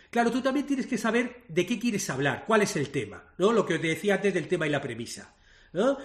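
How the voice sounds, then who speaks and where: Talking fairly quickly, a man with a high pitch makes very wide pitch swings. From Spain, Madrid. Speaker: screenwriter and playwright. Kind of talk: interview.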